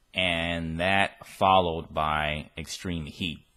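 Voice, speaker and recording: A man with a bright, sharp tone and an American accent. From United States. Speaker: vlogger. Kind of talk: travel vlog monologue. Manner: casual. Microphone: new recording equipment.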